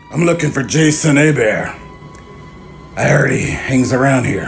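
Over music in the background, a man uses a raspy, put-on character voice at a medium pitch and a moderate pace. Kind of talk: scripted acted dialogue. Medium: short film. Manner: sneering, dismissive. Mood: probing.

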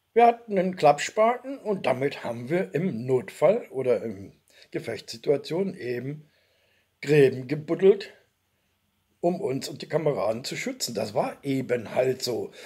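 Dark, mellow, and somewhat breathy, a man's voice sits at a fairly high pitch with very wide pitch swings. He speaks at a fairly slow pace. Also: quiet background. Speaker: video blogger, former soldier; video blogger. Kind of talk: personal storytelling monologue. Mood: warm, nostalgic. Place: home room. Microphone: webcam.

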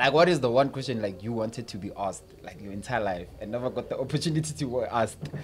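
Over noticeable background noise, a man talks at a very fast pace with lively intonation and big swings in loudness. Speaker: podcast host. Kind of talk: casual podcast chat. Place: studio. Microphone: studio mic.

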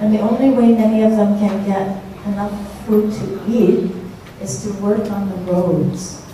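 Strong room echo and light background noise surround a woman's medium-pitched voice. She speaks at a fairly slow pace with monotone, flat intonation. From United States. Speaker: Buddhist nun teacher. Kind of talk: Dharma talk to audience. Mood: calm, earnest teaching. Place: hall.

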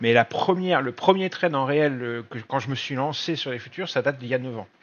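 Medium pitch and ordinary pitch variation from a man in a plain, everyday voice, moving at a fairly quick pace. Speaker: trading trainer and nurse. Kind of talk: online presentation of a training course. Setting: video call.

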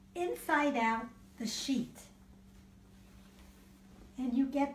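With audible room echo, a woman speaks at a high pitch. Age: 80s+. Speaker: grandmother. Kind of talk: home tutorial demonstration. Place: home room. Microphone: camera far.

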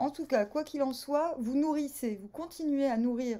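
A high-pitched woman's voice at a fairly slow pace with ordinary pitch variation. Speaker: tarot reader. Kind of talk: casual vlog chat. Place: home room. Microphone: phone near.

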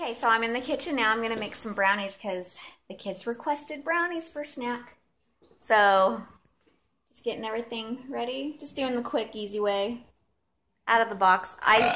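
A woman speaks with a bright, sharp tone, lively intonation and big swings in loudness, leaving long, frequent pauses. Light background noise sits behind her. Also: moderate pace. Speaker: mother vlogger. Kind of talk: casual vlog chat. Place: kitchen. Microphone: phone near.

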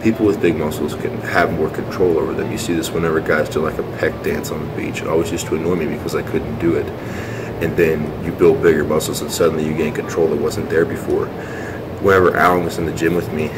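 Over loud background noise, a man talks at a very fast pace. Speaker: fitness vlogger. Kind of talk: casual vlog chat. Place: gym. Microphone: phone near.

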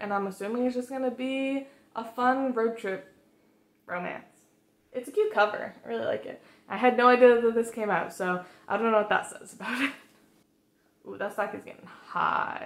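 In a room with audible echo, a woman with a high pitch talks at a moderate pace, with ordinary pitch variation, big swings in loudness and long, frequent pauses. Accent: American. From Massachusetts, US. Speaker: book vlogger. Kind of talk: casual vlog talk. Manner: casual, filler-heavy. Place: home room.

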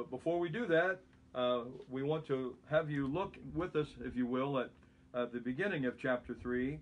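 A man at a moderate pace, his pitch moving in the usual way. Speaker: pastor. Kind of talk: bible study teaching. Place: home room. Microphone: phone near.

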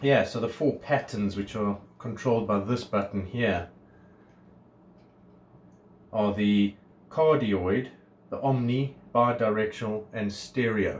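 A man speaks very slowly at a fairly low pitch, with long, frequent pauses. His voice is somewhat breathy, with ordinary pitch variation. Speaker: product reviewer. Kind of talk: casual unboxing review. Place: home room. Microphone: phone near.

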